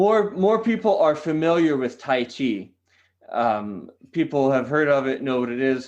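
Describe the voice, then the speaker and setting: Speaking with a Californian accent, a man uses lively intonation at a medium pitch and a moderate pace. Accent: General American (California). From California, San Diego. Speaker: qigong teacher. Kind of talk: podcast interview. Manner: hesitant, many fillers.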